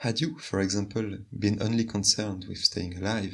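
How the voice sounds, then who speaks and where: A somewhat breathy male voice at a moderate pace, with fairly even intonation. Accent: French. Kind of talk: video essay narration.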